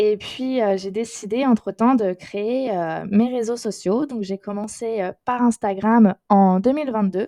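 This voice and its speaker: The tone is dark and mellow, and the pace is fairly slow. The sound is dry and close, with no echo. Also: woman. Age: 20s. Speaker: crochet youtuber. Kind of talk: casual podcast monologue. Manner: hesitant, many fillers.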